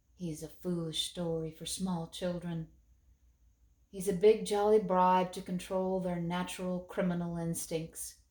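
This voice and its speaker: In a put-on character voice, a woman speaks at a moderate pace and medium pitch, wheezy and weary in tone, with flat, monotone intonation and big swings in loudness. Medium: read story. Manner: weary, slow.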